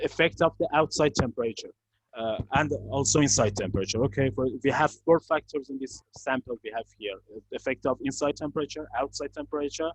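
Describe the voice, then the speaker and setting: A man with vocal fry, fairly high in pitch, at a very fast pace with ordinary pitch variation, in a dry, close sound with no echo. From Iran. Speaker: climate control engineer. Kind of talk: product presentation. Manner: halting; quiet.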